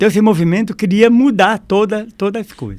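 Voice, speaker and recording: A man speaks at a moderate pace. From Brazil, Foz do Iguaçu, Paraná. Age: 70s. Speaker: health council president. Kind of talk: podcast interview.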